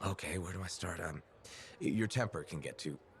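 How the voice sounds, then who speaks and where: A man's put-on character voice, very deep and low, raspy and fairly quick, over clear background noise. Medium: video game. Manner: wry, casual.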